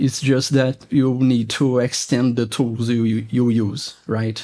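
In a Portuguese accent, a man speaks at a fairly slow pace and medium pitch, with a dark, mellow tone and monotone, flat intonation. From Brazil. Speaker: electronics engineer, software developer. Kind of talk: technical interview. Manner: halting.

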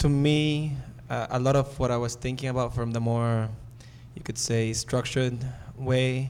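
In a room with audible echo, a man talks at medium pitch with monotone, flat intonation. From Nicaragua. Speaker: breathwork facilitator and community organizer. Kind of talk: live panel discussion, personal stories. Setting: seminar stage with audience.

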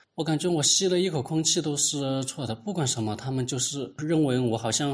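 Medium pitch from a man, with ordinary pitch variation and a moderate pace. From Hunan, Yueyang. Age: 30s. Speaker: government employee and independent researcher. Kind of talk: interview testimony. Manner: halting, with many filler sounds.

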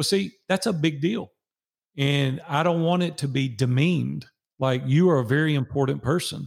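A man speaks with a Nashville accent. His pitch moves with ordinary variation. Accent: Southern US (Nashville). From Nashville, Tennessee. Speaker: business coach and guest. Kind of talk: casual interview. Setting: video call.

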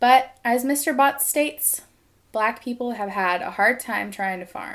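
A woman with a plain, everyday voice, lively intonation and a fairly slow pace, in a very clean recording with a silent background. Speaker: podcast host. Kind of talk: scripted narration.

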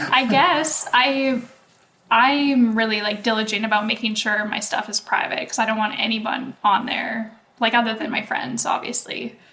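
Amid noticeable background noise, a woman with a Canadian accent talks at a moderate pace and fairly high pitch with fairly even intonation. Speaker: podcast co-host. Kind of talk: casual chat.

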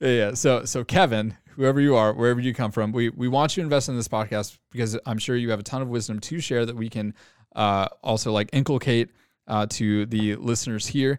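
A man's medium-pitched voice with an American accent, at a fairly quick pace and with ordinary pitch variation. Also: very clean recording, silent background. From Texas, Arlington area. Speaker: parish youth ministry director. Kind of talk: casual chat. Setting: studio with camcorder. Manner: halting, many fillers.

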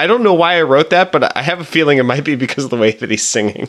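Lively intonation marks this man's fairly high pitch, heard in a plain, everyday voice. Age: 20s. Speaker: podcast co-host. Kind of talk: casual chat.

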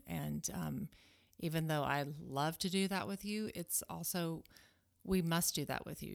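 The speech comes at a fairly slow pace in a Southern US accent. The recording is very clean, with a silent background. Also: woman. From US South, Alabama. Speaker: homeschooling mother. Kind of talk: casual chat.

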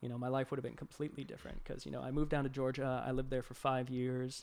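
A man speaks in a monotone with flat intonation and an American accent. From Boston, Massachusetts. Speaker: art director. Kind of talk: casual chat. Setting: in-person recording, live streamed.

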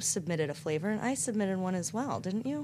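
Her voice is dark and mellow in tone, somewhat breathy, with an American accent. She uses very wide pitch swings. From US South, North Carolina. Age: 30s. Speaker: podcast guest, neighbor of hosts. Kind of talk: casual chat.

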